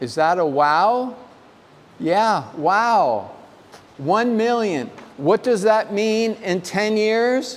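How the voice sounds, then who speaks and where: There is audible room echo as a man speaks in a high pitch with lively intonation. His pace is very slow, with long, frequent pauses. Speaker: lecturer on women's health. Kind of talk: lecture. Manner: voice drops at end of sentences.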